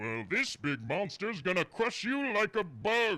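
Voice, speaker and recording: Put-on character voice from a man, high-pitched with very wide pitch swings, at a fairly slow pace. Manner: booming, boastful.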